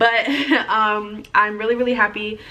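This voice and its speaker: Over noticeable background noise, a woman talks at a fairly high pitch. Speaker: florist and vlogger. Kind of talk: casual tutorial vlog. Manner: fast.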